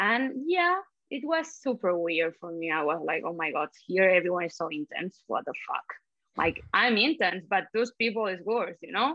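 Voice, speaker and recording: A woman with a Spanish accent and a medium pitch talks at a moderate pace with very wide pitch swings. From Spain (Catalonia). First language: Spanish/Catalan. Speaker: social media creator. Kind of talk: casual interview. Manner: animated, feisty; laughs often.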